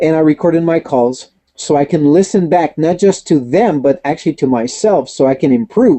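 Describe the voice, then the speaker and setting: A man talks at a moderate pace, his fairly high pitch showing ordinary variation. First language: not English. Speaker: network marketing trainer. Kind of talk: webinar Q&A.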